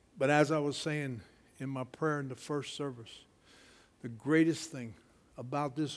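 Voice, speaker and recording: A man's fairly high voice at a moderate pace, with audible room echo. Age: 60s. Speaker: preacher. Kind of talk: sermon. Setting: church. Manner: animated.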